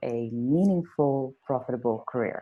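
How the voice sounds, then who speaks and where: A woman's very deep, low voice with a dark, mellow tone and a Dutch accent, at a moderate pace over a quiet background. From Netherlands, Amsterdam. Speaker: life coach. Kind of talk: interview.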